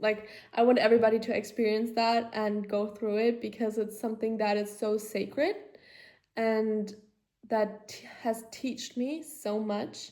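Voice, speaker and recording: A woman talks at a fairly slow pace in a fairly high pitch, her tone dark and mellow. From Germany. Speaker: podcaster. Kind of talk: casual personal monologue. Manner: halting, filler-heavy.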